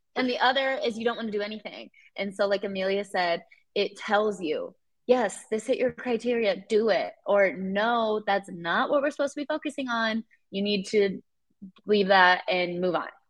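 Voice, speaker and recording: An American accent marks this woman's normal speaking voice, which is fairly high in pitch with ordinary pitch variation and a moderate pace. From Iowa. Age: 20s. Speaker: real estate investor. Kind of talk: interview.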